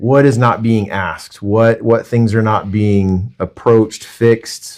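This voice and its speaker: A man talks at a fairly slow pace with a medium pitch. His intonation is fairly even and his tone is intense. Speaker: mortgage lender and interview host. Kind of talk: casual interview chat. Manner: loud, projecting.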